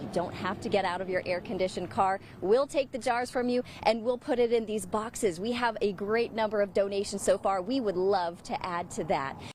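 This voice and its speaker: The voice moves at a fairly quick pace with hardly any pauses and ordinary pitch variation, set against noticeable background noise. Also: woman, medium pitch for a woman. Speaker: broadcast meteorologist. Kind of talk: morning show banter and forecast.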